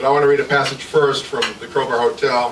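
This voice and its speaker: A man with a Midwestern American accent talks at a very fast pace. Noticeable background noise and audible room echo surround him. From Michigan, Jackson. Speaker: author. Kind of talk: author talk at a reading event. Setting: live event with audience, on a mic.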